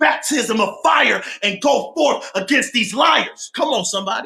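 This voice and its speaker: A man shouting in an extremely high pitch, a raised, projected voice with an animated tone, ordinary pitch variation and moderate pace. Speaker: preacher. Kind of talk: sermon.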